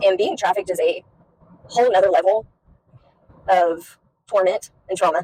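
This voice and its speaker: Speaking at a moderate pace with long, frequent pauses, a woman uses a medium-pitched voice with a dark, mellow tone and fairly even intonation. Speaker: recovered addict sharing faith story. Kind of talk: testimony. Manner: halting.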